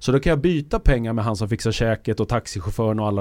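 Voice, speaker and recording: Dark and mellow in tone, a man speaks at a very fast pace with medium pitch and ordinary pitch variation. The sound is dry and close with no echo, in a very clean recording with a silent background. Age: 50s. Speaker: futurist. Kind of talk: casual chat. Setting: studio.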